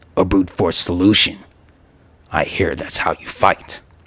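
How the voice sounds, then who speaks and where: A man growls in a put-on character voice, pitched very deep and low. He speaks at a moderate pace. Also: big swings in loudness. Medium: read story.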